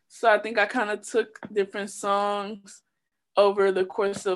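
A woman talks at a medium pitch and a fairly slow pace in an unremarkable speaking voice. The background is quiet. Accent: American. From Chicago. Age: 20s. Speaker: rapper. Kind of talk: casual chat.

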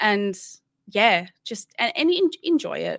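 A woman is speaking. She has an Australian accent. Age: 30s. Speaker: gamer and podcast host. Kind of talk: casual interview. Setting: video call.

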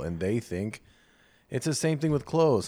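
A man speaks at a moderate pace. His is an unremarkable speaking voice. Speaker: podcast co-host. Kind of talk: casual banter and candid conversation.

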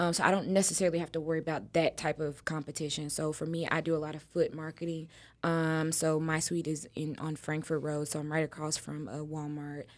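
A woman with an American accent and a very deep, low pitch speaks at a fairly quick pace with hardly any pauses, in a monotone, flat delivery. The recording is very clean, with a silent background. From Texas. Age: 20s. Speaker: nail technician. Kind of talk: casual chat.

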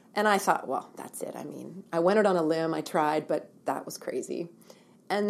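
A woman talks at a moderate pace in a Canadian accent. Her pitch is fairly low, with ordinary variation. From Ontario, Canada. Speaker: women's shelter director. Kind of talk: interview.

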